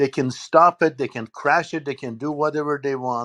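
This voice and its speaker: In an ordinary speaking voice, a man talks at a moderate pace with a fairly high pitch and fairly even intonation. The sound is dry and close with no echo, over a quiet background. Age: 60s. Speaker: political commentator. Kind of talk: panel discussion.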